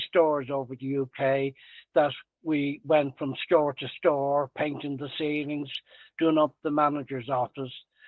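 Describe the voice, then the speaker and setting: Speaking in a Dublin accent, a man talks at a fairly slow pace with a fairly high pitch and monotone, flat intonation. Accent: Irish (Dublin). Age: 80s+. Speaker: retired tradesman and salesman. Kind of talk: podcast interview. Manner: halting.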